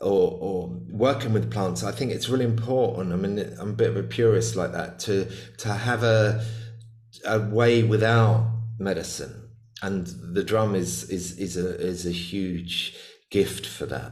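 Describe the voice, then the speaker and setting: Fairly slow and fairly low-pitched, a man talks with vocal fry and ordinary pitch variation. Audible room echo is present. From UK. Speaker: shamanic healer and author. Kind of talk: casual interview chat. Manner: halting, many repeated words.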